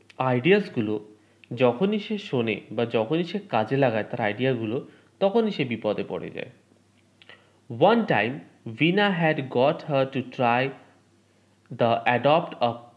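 This man's medium-pitched voice swings very widely in pitch. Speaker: English teacher. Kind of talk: lecture.

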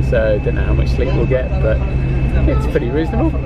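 A man speaks against loud background noise. The sound is dry, with no echo. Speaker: travel vlogger. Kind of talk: casual vlog chat. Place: bus. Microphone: phone near.

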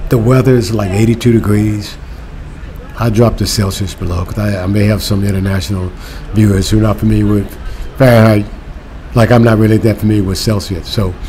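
Over light background noise, a man with a fairly low pitch talks at a fairly quick pace with fairly even intonation. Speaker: travel vlogger. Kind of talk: casual vlog chat. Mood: relaxed, cheerful. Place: street. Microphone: phone near.

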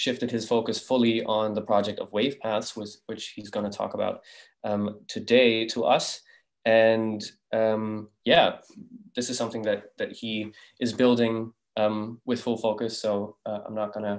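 Against a quiet background, a man speaks in a monotone, flat intonation at a moderate pace. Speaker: event host. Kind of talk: speaker introduction. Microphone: video call.

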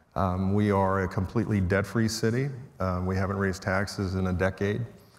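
The man has an unremarkable speaking voice. It sits at a fairly low pitch with fairly even intonation. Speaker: panelist. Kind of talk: panel introduction speech. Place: stage.

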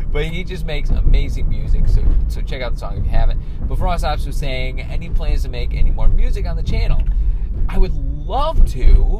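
With music behind him, a man speaks at a fairly quick pace. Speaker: vlogger. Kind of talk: casual vlog chat. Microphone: phone near.

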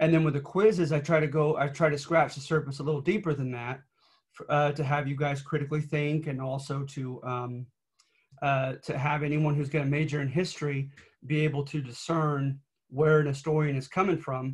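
Over a quiet background, a man speaks at a fairly quick pace with monotone, flat intonation and a somewhat breathy voice. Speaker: college history instructor. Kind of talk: lecture. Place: home room. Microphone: webcam.

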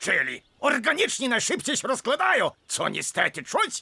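The pace of this man's speech is moderate. His voice sits at an extremely high pitch. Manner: authoritative, calming, drill-commander.

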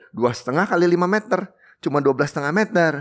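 A man talks at a very fast pace in a high pitch, with very wide pitch swings. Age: 60s. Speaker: coffee shop owner; podcast guest. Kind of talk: casual interview. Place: studio. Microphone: studio mic.

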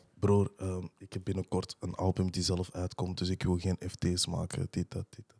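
A man with a very deep, low pitch and a dark, mellow tone speaks at a moderate pace with hardly any pauses. His intonation is monotone and flat, his loudness swings widely, and the background is quiet. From Antwerp, Belgium (Borgerhout); Antwerp, Belgium. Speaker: rapper; podcast guest. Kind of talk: casual chat. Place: studio. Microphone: studio mic.

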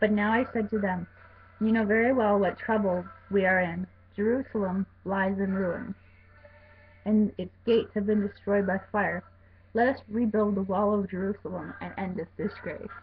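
A woman speaks at a moderate pace with fairly even intonation and long, frequent pauses. Light background noise is audible. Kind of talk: reading scripture aloud. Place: home room. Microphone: webcam.

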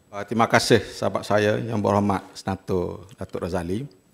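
A man is speaking over a quiet background. His pace is fairly slow. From Malaysia. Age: 60s. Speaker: senator. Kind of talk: parliamentary debate speech. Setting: parliament chamber. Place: hall. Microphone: podium.

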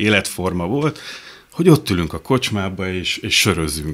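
This man talks at a moderate pace. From Hungary. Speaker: writer. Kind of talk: casual interview chat. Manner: halting. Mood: humorous, anecdotal. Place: studio. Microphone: studio mic.

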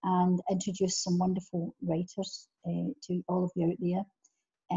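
Against a quiet background, a woman with a Scottish accent talks at a medium pitch in a somewhat breathy voice with fairly even intonation. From Scotland. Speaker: interviewer. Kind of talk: interview question. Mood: warm, enthusiastic. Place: home room. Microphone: video call.

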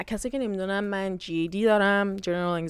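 A woman talks at a fairly quick pace with fairly even intonation. The sound is dry, with no echo. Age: 20s. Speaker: YouTuber and university student; YouTuber. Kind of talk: casual Q&A vlog. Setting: hotel room on vacation. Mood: candid, reflective. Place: home room. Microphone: lapel.

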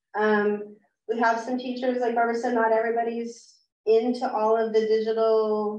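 A woman with an ordinary speaking voice, fairly high pitch, fairly even intonation and a moderate pace. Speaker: adult education teacher. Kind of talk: conference presentation. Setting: room with live audience and Zoom viewers.

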